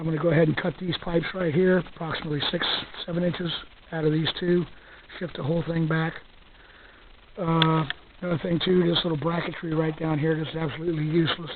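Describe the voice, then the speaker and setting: A man talks very fast in a fairly high voice with monotone, flat intonation and long, frequent pauses. Noticeable background noise is present. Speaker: hobbyist gasifier builder. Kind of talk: casual talk to camera, walkaround tutorial. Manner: soft-spoken.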